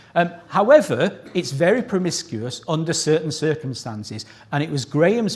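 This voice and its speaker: Lively intonation from a man at a moderate pace, with noticeable background noise. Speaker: plant scientist giving award citation. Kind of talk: ceremony speech. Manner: pitch rises when excited.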